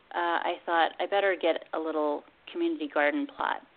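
An ordinary speaking voice from a woman, moderate in pace and lively in intonation. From Pennsylvania. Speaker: master gardener and food activist. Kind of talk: radio interview.

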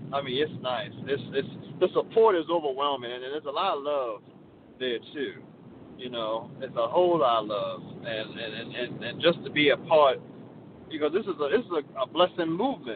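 A man with an American accent, fairly high in pitch, lively in intonation and moderate in pace, over noticeable background noise. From Baltimore, Maryland. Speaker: railroad electrician, vitiligo community member. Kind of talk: interview, personal story.

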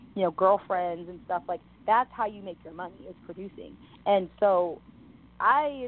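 This woman speaks with a New York accent at a medium pitch and a moderate pace. Her loudness swings widely. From New York City, the Bronx. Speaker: model, actress and rapper. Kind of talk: interview.

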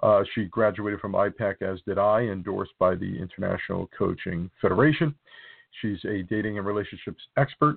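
Fairly low in pitch, a man talks at a fairly quick pace in a New Jersey accent with ordinary pitch variation. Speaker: podcast host. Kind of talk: interview.

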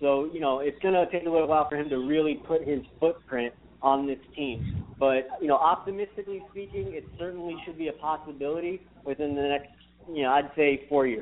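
A man with an unremarkable speaking voice, fairly high in pitch, with ordinary pitch variation and a fairly quick pace. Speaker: sports commentator. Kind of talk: casual sports talk.

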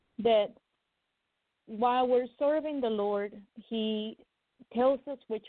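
A woman is the speaker. Her voice sits fairly high. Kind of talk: prophetic prayer. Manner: fervent.

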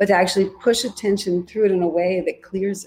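A woman talks in a plain, everyday voice at medium pitch, keeping her intonation fairly even. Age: 40s. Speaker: yoga teacher. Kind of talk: casual chat.

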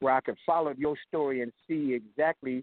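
A man talks in a normal speaking voice. His pitch sits fairly high. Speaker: caller. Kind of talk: casual chat. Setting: phone call.

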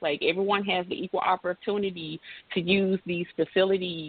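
A woman is speaking. She has a Memphis accent. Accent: Southern American (Memphis). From US South, Memphis, Tennessee. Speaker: college athletics compliance administrator. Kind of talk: interview.

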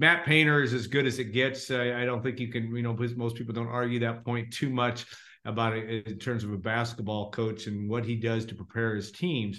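A man with an ordinary speaking voice talks at a fairly quick pace. His pitch is medium and his intonation fairly even. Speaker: interviewer host. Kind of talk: casual interview chat. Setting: video call.

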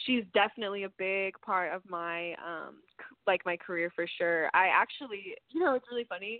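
A woman with an American accent, medium pitch, ordinary pitch variation and a moderate pace. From Texas, Amarillo. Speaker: singer-songwriter. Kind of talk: interview. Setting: phone call.

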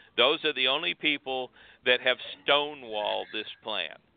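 A man's fairly high voice at a fairly slow pace, with ordinary pitch variation. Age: 60s. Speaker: guest advocate. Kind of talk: casual chat. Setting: phone call.

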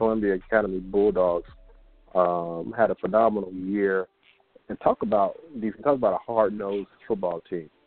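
In an ordinary speaking voice, a man keeps to a moderate tempo. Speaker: radio host. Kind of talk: casual chat.

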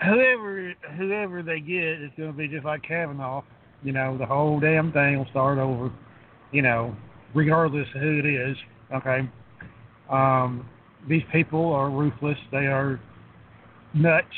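Speaking at a fairly slow pace with ordinary pitch variation, a man leaves long, frequent pauses. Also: fairly high pitch for a man. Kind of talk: casual chat.

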